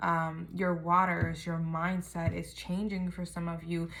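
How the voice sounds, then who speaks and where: A woman speaks in a fairly low, somewhat breathy voice. Her intonation is monotone and flat. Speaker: tarot reader. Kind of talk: tarot reading. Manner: quiet, kept low.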